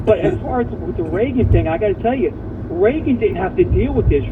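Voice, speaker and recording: At a fairly quick pace, a man with an extremely high pitch makes very wide pitch swings against noticeable background noise. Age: 60s. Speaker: caller, Marine Corps veteran. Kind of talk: call-in talk radio. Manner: fast, repetitive and halting.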